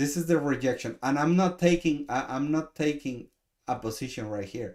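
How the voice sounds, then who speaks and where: A man with a Mexican accent talks at a fairly high pitch, with ordinary pitch variation. The recording is very clean and the background silent. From Mexico. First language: Spanish. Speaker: trading coach. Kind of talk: live trade review stream. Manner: slow; halting, many repetitions.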